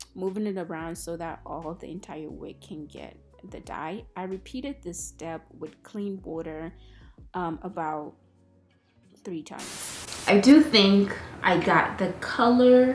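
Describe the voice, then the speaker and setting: A soft-spoken woman talks very slowly at medium pitch, with music in the background. Her intonation is lively and her loudness swings widely. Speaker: beauty youtuber. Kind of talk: tutorial voiceover. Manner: casual, filler-heavy.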